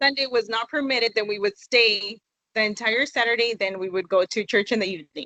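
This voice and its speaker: A plain, everyday voice with an American accent moves at a fairly quick pace. Its pitch variation is ordinary. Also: woman, fairly high pitch for a woman. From California. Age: 20s. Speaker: interview guest. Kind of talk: interview.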